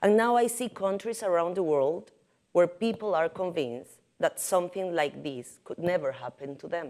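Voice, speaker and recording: Fairly low female voice with very wide pitch swings and a Caribbean Spanish accent, on a very clean recording with a silent background. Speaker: journalist. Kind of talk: prepared symposium talk. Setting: podium at symposium with audience.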